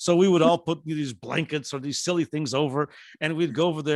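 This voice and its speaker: A man with an Azorean accent, fairly high in pitch and fairly quick in pace, in a dry, close sound with no echo. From Azores, Portugal. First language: Portuguese. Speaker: professor. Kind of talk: presentation. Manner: halting with many fillers.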